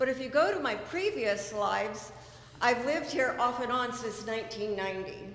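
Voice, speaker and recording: A woman with an American accent at a fairly slow pace, with audible room echo and noticeable background noise. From California. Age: 60s. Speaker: committee candidate, home builder. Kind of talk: candidate speech at town hall. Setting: town hall meeting.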